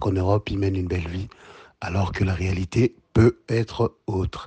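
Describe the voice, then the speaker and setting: A man talks at a moderate pace with ordinary pitch variation. It is an unremarkable speaking voice. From DR Congo, Kinshasa. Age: 30s. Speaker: entrepreneur and Pan-African activist. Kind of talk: podcast interview.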